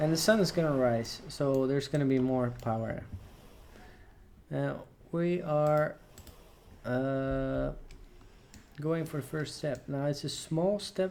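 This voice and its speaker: Speaking very slowly with long, frequent pauses, a man with a non-native accent keeps a fairly high pitch and ordinary pitch variation. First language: not English. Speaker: gaming let's player. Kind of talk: gameplay commentary. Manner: casual, hesitant.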